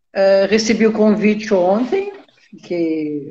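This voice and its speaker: A woman with a fairly high pitch speaks with lively intonation and a somewhat breathy voice. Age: 70s. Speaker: labour lawyer. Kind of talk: interview. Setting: live stream. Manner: hesitant.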